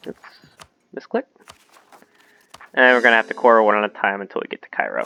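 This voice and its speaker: A man talks at a very fast pace with big swings in loudness. The sound is dry and close, with no echo. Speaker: video game let's play host. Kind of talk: gameplay commentary. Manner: casual, with hesitations and repeated words.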